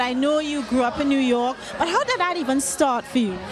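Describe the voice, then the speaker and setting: Over noticeable background noise, a woman with a Trinidadian accent speaks at a moderate pace in an animated tone. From Trinidad and Tobago. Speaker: entertainment interviewer. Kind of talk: red carpet interview.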